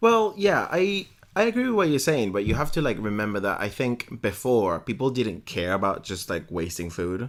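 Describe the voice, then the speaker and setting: A man with a Spanish accent, animated in tone with very wide pitch swings at a moderate pace, on a very clean recording with a silent background. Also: medium pitch for a man. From Venezuela. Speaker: podcast co-host. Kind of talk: casual chat. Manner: halting.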